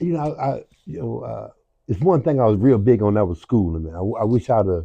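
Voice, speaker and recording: Talking at a very fast pace, a man at medium pitch with an American accent makes very wide pitch swings. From Milwaukee, US Midwest. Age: 70s. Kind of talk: interview. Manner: halting, repetitive.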